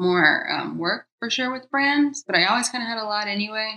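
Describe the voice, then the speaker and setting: An ordinary speaking voice with an American accent shows ordinary pitch variation over a quiet background. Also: woman. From US South, Georgia (Atlanta suburbs). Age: 30s. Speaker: vegan food blogger and cookbook author. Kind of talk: casual interview chat.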